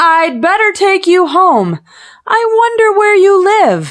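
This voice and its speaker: In a put-on character voice, a woman speaks at an extremely high pitch with ordinary pitch variation and a fairly slow pace. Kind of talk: bedtime story. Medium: read story. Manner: warm, reassuring.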